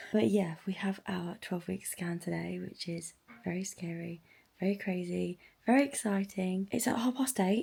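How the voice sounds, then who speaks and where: A woman puts on a raspy character voice at medium pitch. She speaks quietly at a moderate pace. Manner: quiet, hushed.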